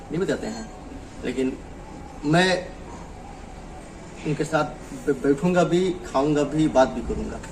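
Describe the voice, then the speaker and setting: A man with a fairly high pitch talks with long, frequent pauses and ordinary pitch variation. There is noticeable background noise. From Ghazipur, Uttar Pradesh, India. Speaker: Bhojpuri singer. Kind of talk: interview answer. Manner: casual, conversational.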